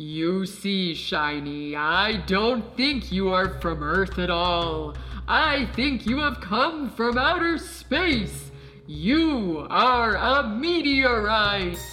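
A man in a put-on character voice, raised and projected with a high pitch, speaks at a very slow pace over clear music in the background. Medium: audio drama. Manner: slow, wise, commanding.

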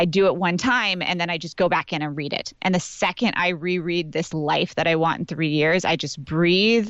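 An energetic tone at a moderate pace, with ordinary pitch variation. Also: woman, fairly low pitch for a woman. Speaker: business and life coach. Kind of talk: casual chat. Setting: in a closet at home.

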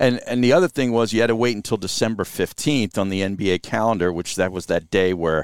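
In an ordinary speaking voice, a man with a fairly low pitch talks at a fairly quick pace with lively intonation, in a dry, close sound with no echo. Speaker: radio host. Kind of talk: casual interview chat. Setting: in a van outdoors.

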